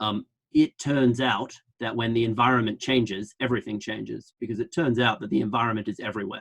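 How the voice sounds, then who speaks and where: In an Australian accent, a man talks at a fairly quick pace with medium pitch and ordinary pitch variation. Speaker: public health researcher. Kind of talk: online lecture. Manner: fast, with many fillers and restarts.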